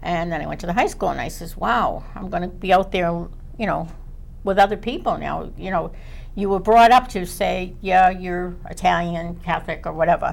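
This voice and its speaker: A woman with a Boston accent speaks at a moderate pace in a medium pitch with ordinary pitch variation, with audible room echo. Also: big swings in loudness. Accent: Boston-area. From Chelsea, Massachusetts. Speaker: school committee member. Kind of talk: panel discussion.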